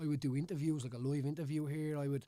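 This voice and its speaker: A man with a Dublin accent speaks at a fairly high pitch. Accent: Dublin Irish. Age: 30s. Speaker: former MMA fighter and local politician. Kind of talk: casual chat. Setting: studio.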